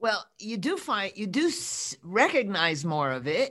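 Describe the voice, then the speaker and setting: A woman with an American accent talks at a fairly slow pace, her pitch swinging very widely. The recording is very clean with a silent background. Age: 80s. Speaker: coach and author. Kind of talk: casual interview chat.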